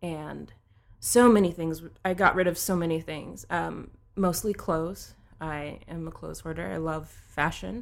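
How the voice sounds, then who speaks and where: Her voice fairly low in pitch with vocal fry, a woman speaks at a moderate pace with ordinary pitch variation and big swings in loudness. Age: 30s. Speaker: social media and content strategist. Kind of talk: casual chat.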